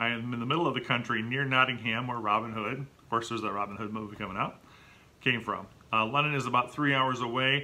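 With a bright, sharp tone and fairly even intonation, a man talks at a fairly quick pace. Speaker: channel host. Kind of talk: casual vlog chat. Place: home room. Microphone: webcam.

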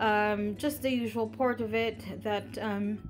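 Faint music plays behind a woman who speaks at a very slow pace. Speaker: home vlogger. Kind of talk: casual vlog chat. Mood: relaxed, laid back. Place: kitchen. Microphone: phone near.

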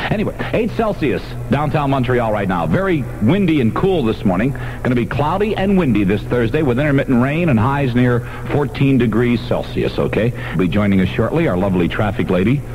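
A man's pitch swings very widely over light background noise. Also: medium pitch for a man, fairly quick pace. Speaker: radio disc jockey. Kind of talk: morning radio DJ patter with jokes. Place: studio. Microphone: old recording.

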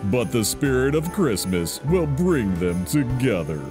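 A man's pitch swings very widely as he talks at a fairly slow speed. Music can be heard behind him. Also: medium pitch for a man. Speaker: trailer narrator. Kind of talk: movie trailer.

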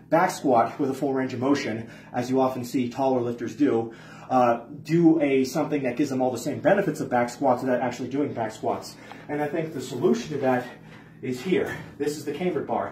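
At a fairly quick pace, a man speaks amid light background noise and audible room echo. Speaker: lifting coach. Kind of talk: tutorial. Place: gym.

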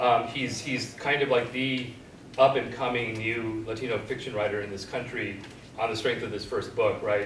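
A man talks at a moderate pace in a monotone, flat intonation, with light background noise and audible room echo. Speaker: guest professor. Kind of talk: discussion talk. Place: classroom. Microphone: camera far.

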